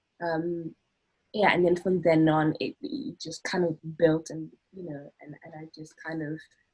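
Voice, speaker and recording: A woman speaks at a fairly slow pace with a fairly low pitch and fairly even intonation. Music plays in the background. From South Africa. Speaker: acting student. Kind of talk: group interview. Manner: halting, many fillers and repetitions.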